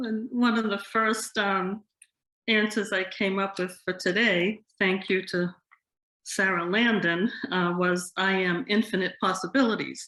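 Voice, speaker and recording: Speaking at a fairly slow pace with fairly even intonation, a woman with a Boston accent has a bright, sharp tone in a very clean recording with a silent background. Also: medium pitch for a woman. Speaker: yoga teacher. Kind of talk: interview. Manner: hesitant, many ums.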